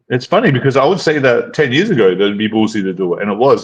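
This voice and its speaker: Speaking at a very fast pace, a man uses lively intonation at a medium pitch. Noticeable background noise can be heard. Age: 30s. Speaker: dating coach and channel host. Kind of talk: casual chat. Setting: live stream.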